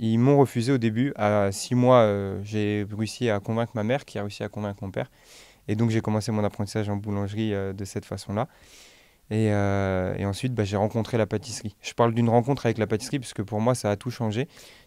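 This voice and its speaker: On a very clean recording with a silent background, a man speaks at a fairly quick pace. His voice has a dark, mellow tone, fairly low pitch and fairly even intonation. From France, Nantes (Dervallière neighbourhood). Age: 20s. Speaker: pastry chef and bakery owner. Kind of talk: podcast interview. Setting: studio. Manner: hesitant, many fillers.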